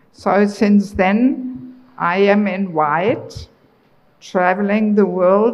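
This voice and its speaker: A woman with a German accent speaks very slowly at a medium pitch. Her intonation is fairly even, and audible room echo is present. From Germany. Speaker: traveling preacher. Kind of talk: religious lecture.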